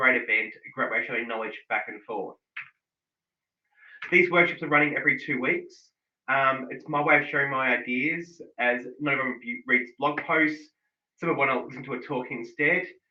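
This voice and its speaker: A man with an Australian accent speaks at a moderate pace, his fairly high pitch moving with ordinary variation. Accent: broad thick Australian. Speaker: digital analytics consultant. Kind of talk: online workshop presentation.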